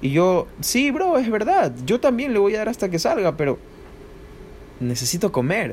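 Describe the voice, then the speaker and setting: In an animated, high voice with very wide pitch swings, a man talks at a fairly slow pace with long, frequent pauses as noticeable background noise plays behind him. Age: 20s. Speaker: amateur trader and podcaster. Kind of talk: spontaneous motivational monologue.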